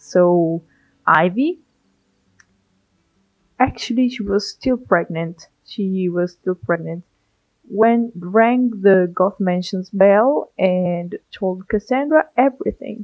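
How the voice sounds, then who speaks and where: Very slow and marked by long, frequent pauses, a woman's medium-pitched speech in a non-native accent has ordinary pitch variation. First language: not English. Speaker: gaming YouTuber. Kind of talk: casual let's play commentary.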